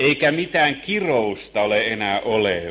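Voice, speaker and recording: A man with fairly low pitch and lively intonation, in audible room echo. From Finland, Helsinki. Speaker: Bible teacher. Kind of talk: Bible lesson sermon.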